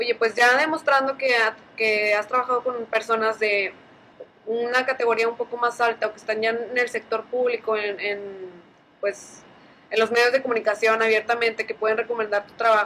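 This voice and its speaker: A woman speaks with monotone, flat intonation. Her pitch is fairly high. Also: moderate pace. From Mexico, Allende, Nuevo León. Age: 20s. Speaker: entrepreneur and engineer. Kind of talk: casual chat.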